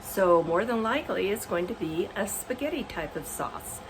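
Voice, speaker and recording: A woman speaks at a fairly slow pace in a relaxed tone, her pitch swinging very widely. Noticeable background noise runs underneath. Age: 70s. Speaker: home cook. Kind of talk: cooking demonstration to camera. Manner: casual, relaxed.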